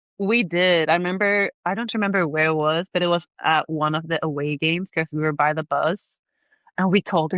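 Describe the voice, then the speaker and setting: The speaker has a Swedish accent and an animated tone, going at a moderate pace. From southern Sweden, Malmö. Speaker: podcast guest. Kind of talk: casual chat. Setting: remote call.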